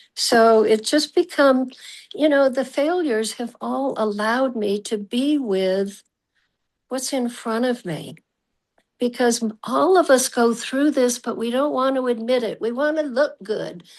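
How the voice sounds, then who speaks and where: Against a quiet background, a woman talks at a fairly slow pace with a high pitch and ordinary pitch variation. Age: 80s+. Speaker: speaking coach. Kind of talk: casual chat.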